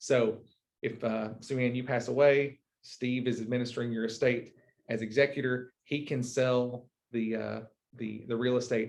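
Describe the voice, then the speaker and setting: This man's voice sits at a medium pitch. He keeps his intonation fairly even. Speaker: real estate attorney. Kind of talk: seminar talk. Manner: fast; halting, repeats words.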